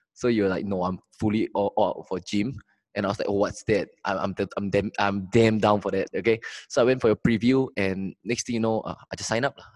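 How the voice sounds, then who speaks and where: Recorded very cleanly against a silent background, with a dry, close sound and no echo, a man speaks in a plain, everyday voice at a fairly quick pace, fairly low in pitch with fairly even intonation. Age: 20s. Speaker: sales mentor and beginner investor. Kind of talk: casual interview.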